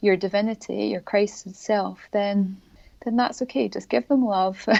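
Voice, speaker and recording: A dark, mellow tone in a Scottish accent, at a moderate pace with ordinary pitch variation. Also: woman, medium pitch for a woman. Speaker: spiritual author and healer. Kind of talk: interview.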